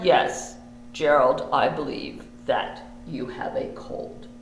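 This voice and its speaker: A man does a cartoonish character voice at a very slow pace. There is slight echo. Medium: puppet. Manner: calm, reassuring.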